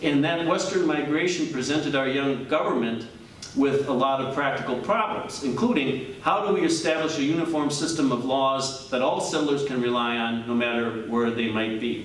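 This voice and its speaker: A man talks at a fairly quick pace in an American accent, his pitch fairly high. Audible room echo and noticeable background noise surround his voice. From Wisconsin, Washington County. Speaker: judge giving a local history talk. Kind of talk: lecture. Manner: fast.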